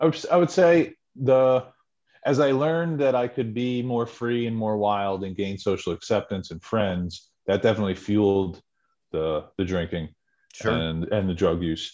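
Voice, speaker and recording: A man with an American accent speaks at a fairly slow pace in a dark, mellow tone, his pitch swinging very widely. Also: medium pitch for a man. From central New Jersey. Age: 40s. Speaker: person in recovery. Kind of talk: testimony.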